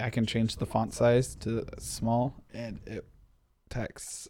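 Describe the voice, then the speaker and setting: Mumbling, a man talks at a medium pitch. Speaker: tech podcast co-host. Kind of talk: casual chat.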